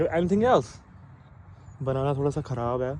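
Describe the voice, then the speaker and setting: A man speaks at a medium pitch in a Punjabi accent. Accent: Punjabi-accented Hindi, non-fluent. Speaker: vlogger, father. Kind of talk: casual vlog.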